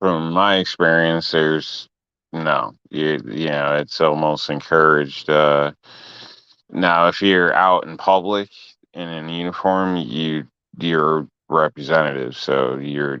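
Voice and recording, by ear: A man speaks slowly at an extremely low pitch with fairly even intonation, his tone clear and smooth yet bright and sharp.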